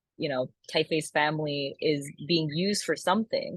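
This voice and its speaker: A woman with a Korean accent speaks at a fairly slow pace in a fairly low pitch, with ordinary pitch variation. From US, Korean American. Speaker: type designer. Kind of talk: panel discussion. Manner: casual, filler-heavy.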